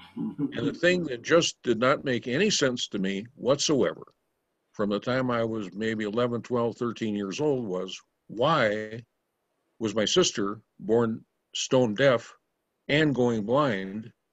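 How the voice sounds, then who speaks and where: With an American accent, a man at a medium pitch speaks at a very slow pace. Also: ordinary pitch variation. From Minnesota, US Upper Midwest. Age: 70s. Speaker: spiritual teacher telling life stories. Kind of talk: storytelling talk.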